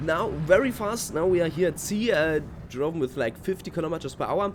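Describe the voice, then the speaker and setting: Lively intonation marks a man's high-pitched voice with a German accent. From Germany. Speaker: gaming youtuber. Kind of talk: gameplay commentary. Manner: halting.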